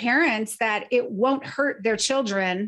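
A woman with lively intonation at a very slow pace, on a very clean recording with a silent background. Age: 50s. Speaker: nonprofit founder and bereaved mother. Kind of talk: interview.

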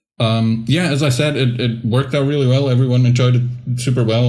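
Noticeable background noise sits under a man who talks at a fairly quick pace with fairly even intonation. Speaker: podcast co-host. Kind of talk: casual chat.

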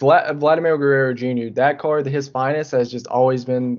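With fairly even intonation and a medium pitch, a man speaks at a moderate pace in an unremarkable speaking voice. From North Carolina (Richmond County). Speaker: podcast guest, sports fan. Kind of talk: casual chat.

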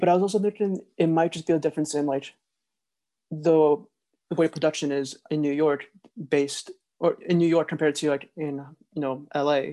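With a dark, mellow tone and fairly high pitch, a man speaks at a fairly quick pace with fairly even intonation and long, frequent pauses, the sound dry and close with no echo. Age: 20s. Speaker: podcast co-host, video editor. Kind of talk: casual chat.

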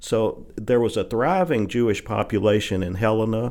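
With a Southern US accent, a man talks at a fairly slow pace, his fairly low pitch held to fairly even intonation. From Arkansas Delta (Holly Grove). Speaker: appeals court judge. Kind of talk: casual interview. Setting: studio. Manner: halting, many fillers.

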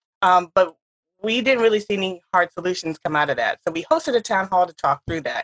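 With an animated tone and lively intonation, a woman of medium pitch speaks in a dry, close sound with no echo. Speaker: podcast host. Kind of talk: casual interview.

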